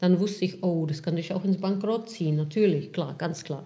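A woman with a Czech accent speaks at a moderate pace in a fairly low pitch. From Czech Republic. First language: Czech (speaking German). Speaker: real estate investor. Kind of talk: interview.

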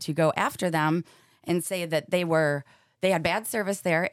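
A woman speaks at a moderate pace in a fairly low pitch with an American accent, ordinary pitch variation, and a plain, everyday voice. The recording is very clean and dry, close with no echo, over a silent background. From Michigan. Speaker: vegan food business owner. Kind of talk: casual chat.

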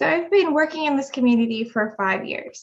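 In an American accent, a woman talks at a fairly quick pace with ordinary pitch variation. Hers is a plain, everyday voice. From West Virginia. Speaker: political candidate and restaurant business owner. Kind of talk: interview.

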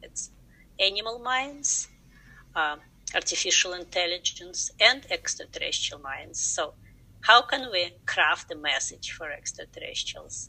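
A woman speaks with a Russian accent at a fairly slow pace. Her loudness swings widely. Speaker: science educator. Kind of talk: interview.

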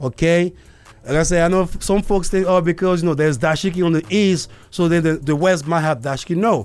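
With a non-native accent, a high-pitched man speaks at a fairly quick pace with ordinary pitch variation and very even loudness. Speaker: podcast host. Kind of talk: casual monologue. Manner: halting, many fillers.

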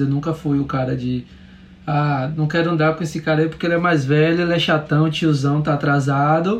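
This man's voice sits at a fairly high pitch and keeps a fairly even intonation. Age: 30s. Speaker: musician and visual artist. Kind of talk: casual interview. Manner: halting, many fillers.

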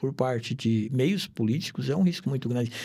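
A man speaks at a moderate pace, his tone dark, mellow and somewhat breathy. The recording is very clean, with a silent background. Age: 60s. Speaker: insurance broker, retired police investigator. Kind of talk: casual chat.

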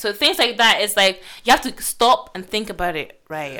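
Lively intonation and a bright, sharp tone at a moderate pace. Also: woman, medium pitch for a woman.

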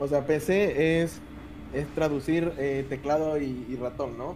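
A man talks at a very slow pace with fairly high pitch and fairly even intonation. Noticeable background noise can be heard. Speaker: podcast co-host. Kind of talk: casual chat. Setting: live stream.

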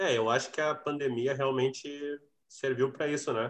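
A man's medium-pitched voice has a bright, sharp tone and a moderate pace. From Rio Grande do Sul interior, Cachoeira do Sul. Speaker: drummer and music teacher. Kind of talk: casual interview chat.

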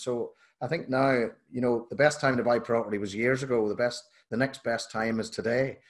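A Northern Irish accent carries this fairly quick delivery. The background stays quiet. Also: man. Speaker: podcast host. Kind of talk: casual interview chat.

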